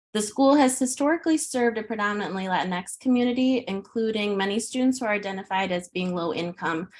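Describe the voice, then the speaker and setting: Speaking at a very fast pace with hardly any pauses, a woman with an American accent uses lively intonation at a fairly high pitch. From US Midwest, Chicago suburbs. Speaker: pre-K teacher. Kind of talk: presentation.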